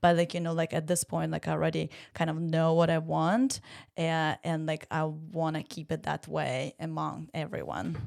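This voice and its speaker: A woman with a Ukrainian accent at a moderate pace, in a very clean recording with a silent background. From Ukraine. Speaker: Pilates studio owner. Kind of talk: casual chat. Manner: halting, many fillers.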